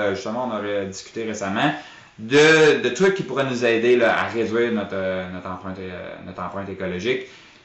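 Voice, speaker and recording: A man with a Quebec accent talks at a fairly quick pace in a medium pitch, his loudness swinging widely. Noticeable background noise and audible room echo surround him. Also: ordinary pitch variation. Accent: Québécois French. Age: 30s. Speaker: grocery store owner. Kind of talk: interview. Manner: halting.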